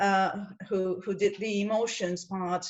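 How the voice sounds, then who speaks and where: Her pitch is medium. This woman's intonation is monotone and flat. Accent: non-native. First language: not English. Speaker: webinar participant, teaches students. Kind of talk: webinar group discussion. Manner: halting, many fillers and repetitions.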